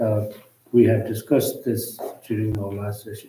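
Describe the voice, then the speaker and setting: In a room with audible echo, a man speaks with a somewhat breathy voice and a dark, mellow tone, his intonation monotone and flat. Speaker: interpreter. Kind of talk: lecture. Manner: halting.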